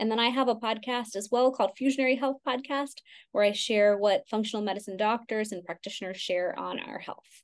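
A woman with an ordinary speaking voice and an American accent, fairly high pitch, fairly even intonation and a fairly quick pace against a quiet background. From Texas, Houston. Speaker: Ayurvedic practitioner. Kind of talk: interview.

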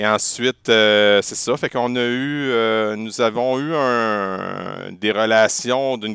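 A man speaks very slowly with a Quebec accent and fairly even intonation. The recording is very clean and silent, with a dry, close sound and no echo. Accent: Québécois. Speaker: teacher and podcaster. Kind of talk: casual interview.

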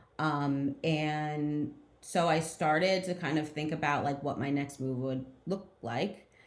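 With audible room echo, a woman talks very slowly at a very deep, low pitch with fairly even intonation. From New Jersey, near Trenton and Montclair. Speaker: real estate executive. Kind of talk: interview.

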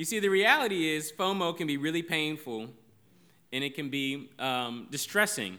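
At a moderate pace, a man with a fairly high pitch talks in a bright, sharp, animated tone with lively intonation, amid audible room echo. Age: 30s. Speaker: pastor. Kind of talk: sermon.

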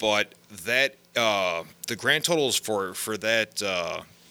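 A man's fairly low-pitched voice, bright and sharp in tone, with lively intonation. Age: 30s. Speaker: gaming podcast co-host. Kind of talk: casual chat. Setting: office.

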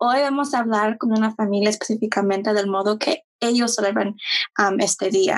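An unremarkable speaking voice from a woman, fairly high in pitch, moderate pace, fairly even intonation and very even loudness. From Mexico-born, raised in US. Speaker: podcast co-host. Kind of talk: interview.

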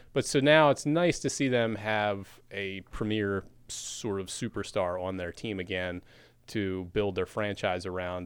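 A man with a normal speaking voice at a fairly low pitch, in a very clean recording with a silent background. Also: ordinary pitch variation, fairly slow pace. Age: 40s. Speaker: newspaper sports editor. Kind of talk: casual chat.

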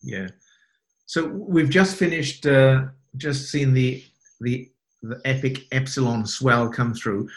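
Speaking very slowly with long, frequent pauses, a man uses a somewhat breathy voice at medium pitch with ordinary pitch variation. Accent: British. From UK. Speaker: podcast host. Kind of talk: casual interview.

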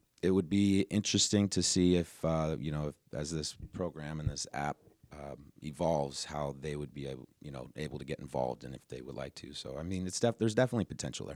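In a Western US accent, a man talks at a very fast pace with a very deep, low pitch, ordinary pitch variation and big swings in loudness, the sound dry and close with no echo. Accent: American West. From Reno, Nevada. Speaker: forest service staff. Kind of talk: interview.

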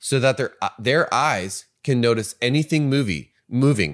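In a plain, everyday voice, a man with an American accent speaks at a medium pitch and a fairly slow pace. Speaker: podcast co-host. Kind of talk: casual conversation. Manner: casual, swears.

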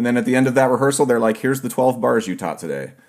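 Talking at a very fast pace, a man with a medium-pitched voice speaks with an American accent. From Ohio, US. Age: 40s. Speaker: podcast host, steel pan player. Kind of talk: casual interview.

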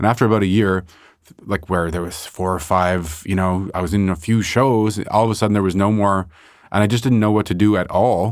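Speaking with a Montreal accent, a man with a fairly low pitch keeps a fairly quick pace and fairly even intonation. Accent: Montreal anglophone Canadian. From Montreal, Canada (NDG). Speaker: painter. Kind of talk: casual interview conversation. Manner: halting, many false starts.

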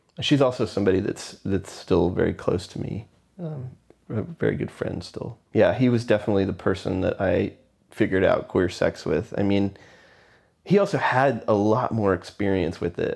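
With an American accent, a man speaks at a moderate pace in a fairly low pitch. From Texas (Houston, then McAllen in the Rio Grande Valley). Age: 40s. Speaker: interviewee sharing life story. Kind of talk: oral history interview. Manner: casual, hesitant with fillers and laughs.

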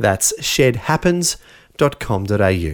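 His Australian accent is clear. The man's pitch jumps up and down over a very wide range. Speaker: radio host. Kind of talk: scripted narration.

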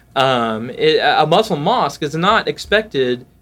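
Over music in the background, a man with a Southern US accent speaks slowly at a fairly high pitch with lively intonation. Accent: Southern US (Georgia). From US South, south Georgia (Valdosta). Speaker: pastor. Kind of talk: casual interview chat. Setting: at his church.

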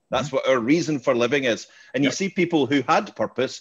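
A man speaks at a fairly quick pace with a fairly high pitch and ordinary pitch variation. It is an ordinary speaking voice against a quiet background. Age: 50s. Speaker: podcast host, interviewer. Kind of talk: casual chat, interview.

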